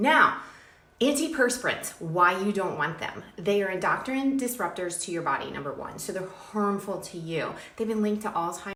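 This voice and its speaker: A woman's medium-pitched voice, animated in tone with lively intonation, amid noticeable background noise and audible room echo. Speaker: skincare brand owner. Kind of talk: product pitch. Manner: fast.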